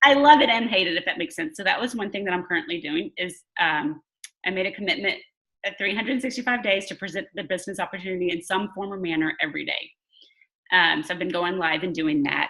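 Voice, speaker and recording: A woman at a very fast pace, medium-pitched, with a Southern US accent. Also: lively intonation. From Louisiana. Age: 40s. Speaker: wellness business coach. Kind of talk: video call interview. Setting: video call. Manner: casual, filler-heavy.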